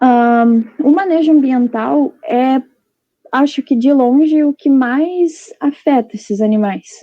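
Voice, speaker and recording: At a very slow pace, the speaker talks with ordinary pitch variation. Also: woman, high pitch for a woman. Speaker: veterinary student. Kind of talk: online presentation.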